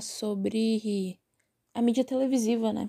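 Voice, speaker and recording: A woman speaks with a dark, mellow tone at a fairly high pitch, the sound dry and close with no echo. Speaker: podcast host. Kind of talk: casual monologue. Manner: animated.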